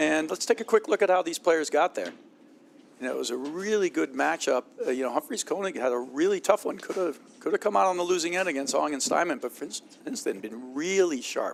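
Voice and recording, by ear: With ordinary pitch variation, a man speaks at a fairly high pitch, his voice showing vocal fry.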